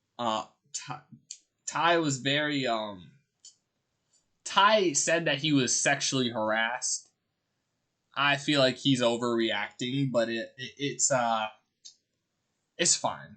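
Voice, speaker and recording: A loud man at medium pitch with a bright, sharp tone, ordinary pitch variation, a very slow pace and long, frequent pauses against a quiet background. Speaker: streamer. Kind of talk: casual chat. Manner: animated.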